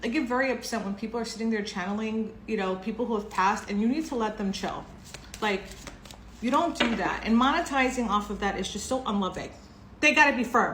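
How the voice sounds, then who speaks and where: A woman speaks very fast in a fairly high voice with ordinary pitch variation. Audible room echo and noticeable background noise come through. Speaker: tarot reader. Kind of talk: tarot reading monologue. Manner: casual, chatty.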